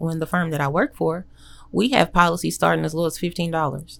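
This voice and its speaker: Talking at a very fast pace, a woman with an American accent has a fairly low pitch. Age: young. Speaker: insurance agent and dog breeder. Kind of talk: interview.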